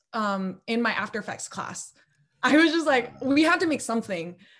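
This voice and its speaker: In a normal speaking voice, a woman with an American accent speaks at a moderate pace with lively intonation against a quiet background. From Los Angeles, US. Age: 20s. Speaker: filmmaker and video editor. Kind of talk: casual interview.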